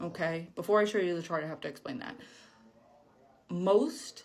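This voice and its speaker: Ordinary pitch variation in a woman's voice at a fairly low pitch. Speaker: science educator. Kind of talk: educational explainer. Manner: casual, filler-heavy.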